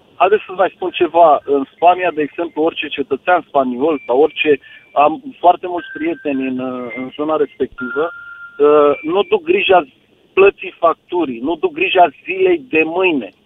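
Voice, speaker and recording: A moderate pace of speech over background music. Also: man. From Argeș, Romania. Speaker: caller who worked abroad in Spain. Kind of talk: casual call-in chat. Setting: phone call.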